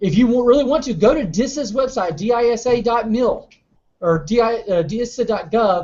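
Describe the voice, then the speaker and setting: The voice carries a Southern US accent and keeps a moderate pace. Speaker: cybersecurity competition trainer. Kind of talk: lecture.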